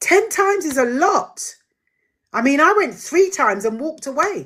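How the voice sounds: A woman speaks fairly slowly in a high voice. Her tone is fairly bright, with big pitch swings.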